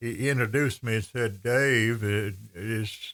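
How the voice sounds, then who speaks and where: A man's medium-pitched voice, very slow, in an Appalachian accent, on a very clean recording with a silent background. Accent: Appalachian Southern US. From Western North Carolina (Andrews). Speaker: radio host. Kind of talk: casual chat.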